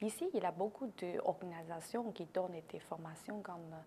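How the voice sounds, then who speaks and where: A woman with a Chinese accent talks at a fairly slow pace with lively intonation. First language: Chinese (speaking French). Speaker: newcomer, entrepreneur. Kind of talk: interview.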